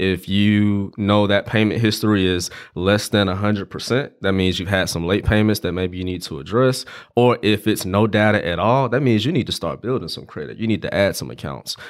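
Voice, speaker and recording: Here a man speaks at a fairly quick pace with a fairly low pitch and ordinary pitch variation. He has a normal speaking voice, and the recording is very clean with a silent background. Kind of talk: casual podcast interview.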